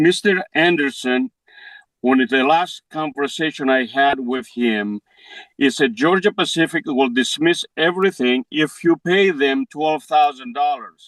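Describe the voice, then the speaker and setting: Speaking at a fairly slow pace with a Greek accent, a man uses a fairly high pitch and ordinary pitch variation. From Greece. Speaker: defendant. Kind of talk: courtroom hearing. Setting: courtroom. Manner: halting.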